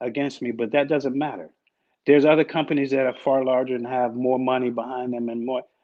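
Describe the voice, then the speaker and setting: The speech moves at a fairly quick pace with fairly even intonation. There is a slight Washington DC accent. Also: man. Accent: slight northern (DC). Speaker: business owner. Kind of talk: interview.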